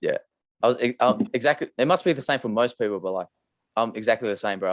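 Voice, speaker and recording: Recorded very cleanly with a silent background, a man with an Australian accent sounds dry and close, with no echo. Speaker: podcast host, clothing brand founder. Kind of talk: casual interview chat. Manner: monotone.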